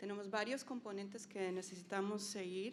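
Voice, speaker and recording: A woman speaks at medium pitch and a moderate pace. Noticeable background noise and audible room echo fill the recording. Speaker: NGO program leader. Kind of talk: conference presentation. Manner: halting, many fillers.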